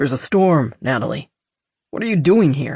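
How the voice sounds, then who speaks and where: A man growls in a put-on character voice. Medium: read story. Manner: dry, calm.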